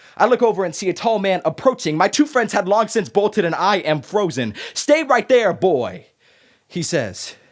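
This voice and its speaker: On a very clean recording with a silent background, a high-pitched man with an American accent talks at a moderate pace, his pitch swinging very widely. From Arizona. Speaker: student performer. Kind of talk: spoken word performance.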